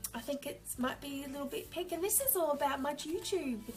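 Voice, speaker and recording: A woman with a high pitch uses an upbeat tone as music plays in the background. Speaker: journaling hobbyist. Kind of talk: casual talk to camera.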